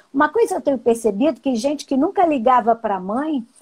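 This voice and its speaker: High-pitched, a woman talks with lively intonation. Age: 60s. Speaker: sociologist and educator. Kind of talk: live-stream talk. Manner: conversational.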